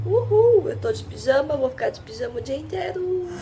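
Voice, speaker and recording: A woman speaks over noticeable background noise. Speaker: vlogger. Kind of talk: casual vlog talk.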